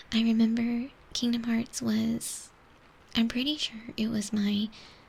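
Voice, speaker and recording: A soft-spoken woman talks in a whisper. Her pace is fairly slow. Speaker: ASMR artist. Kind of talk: casual ASMR chat. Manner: soft-spoken, whispered.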